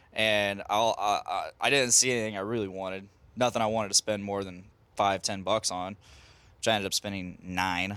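Speaking with an American accent, a man uses a fairly low, bright and sharp voice at a fairly quick clip, his intonation monotone and flat, on a very clean recording with a silent background. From US Midwest. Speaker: podcast host. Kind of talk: casual banter.

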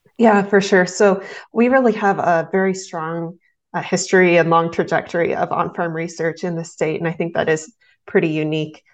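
Against a quiet background, a woman with an American accent speaks at a moderate pace with a fairly low pitch, an unremarkable speaking voice. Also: fairly even intonation. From southeast Nebraska. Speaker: agricultural extension educator. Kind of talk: interview.

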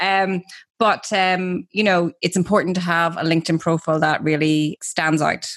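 With an Irish accent, a woman speaks at a fairly low pitch with fairly even intonation and very even loudness. The sound is dry and close with no echo, on a very clean recording with a silent background. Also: moderate pace. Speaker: radio co-host, social media trainer. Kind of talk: casual chat show.

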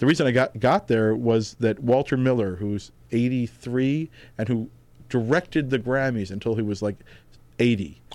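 A man with a New York accent at a moderate pace, with ordinary pitch variation, in a very clean recording with a silent background. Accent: New York area American. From New Jersey, US (Tenafly, North Jersey). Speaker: comedy writer and music journalist. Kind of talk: casual interview chat.

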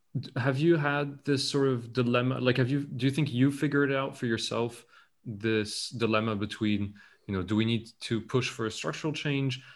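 A man with a French accent speaks at a medium pitch. His pace is moderate and his intonation fairly even. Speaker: podcast host. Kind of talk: casual interview chat. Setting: video call.

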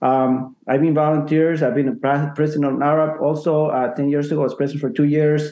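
A man with a Spanish accent speaks fairly quickly at a fairly high pitch. His intonation is monotone and flat, his loudness very even. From Ecuador. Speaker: realtor. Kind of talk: casual chat.

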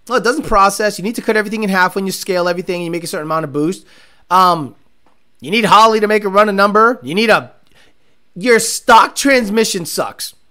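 The voice is raised and projected, animated, with a bright, sharp tone. It moves at a very fast pace. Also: man, high pitch for a man, ordinary pitch variation. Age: 40s. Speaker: car podcast host and racer. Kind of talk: casual chat.

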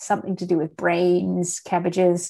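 In a very clean recording with a silent background, a woman speaks at a medium pitch with an Australian accent. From Australia, country town. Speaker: artist. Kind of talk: interview.

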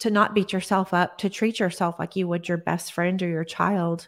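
In a very clean recording with a silent background, a woman with a Texan accent speaks at a medium pitch with monotone, flat intonation. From Texas, Odessa. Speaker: holistic nutritionist. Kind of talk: interview. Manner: halting.

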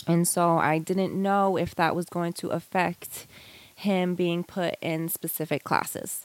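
With a New York accent, a woman talks at a fairly slow pace in a fairly low, monotone, flat voice, the sound dry and close with no echo. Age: 30s. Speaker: homeschooling mother. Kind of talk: casual interview.

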